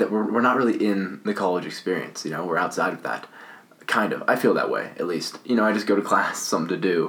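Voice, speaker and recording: Noticeable noise sits behind a man who talks very fast. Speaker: podcast host. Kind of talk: casual conversation. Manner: halting, filler-heavy.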